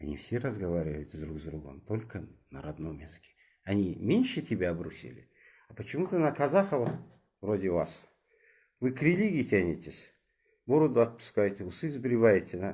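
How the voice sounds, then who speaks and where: A man speaks at a moderate pace in a fairly low, somewhat breathy voice with a dark, mellow tone. His pitch swings very widely, his loudness shifts a lot, and he takes long, frequent pauses. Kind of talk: moralizing monologue. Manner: animated.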